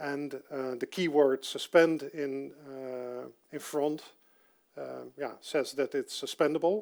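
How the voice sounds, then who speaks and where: With a Dutch accent, a man speaks very slowly in a fairly high voice, his intonation fairly even but his loudness swinging widely. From Netherlands. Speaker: software developer giving a conference talk. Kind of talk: technical talk. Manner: halting, many fillers.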